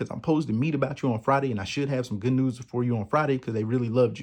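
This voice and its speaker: Speaking in an American accent, a man uses a medium pitch and ordinary pitch variation against a quiet background. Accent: strong country. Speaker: podcast host. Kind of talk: personal testimony. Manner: casual, conversational.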